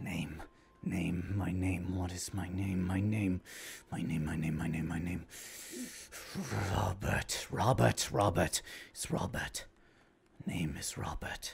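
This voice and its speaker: A man uses a put-on character voice pitched very deep and low. He talks at a fairly slow pace, with long, frequent pauses. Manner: casual.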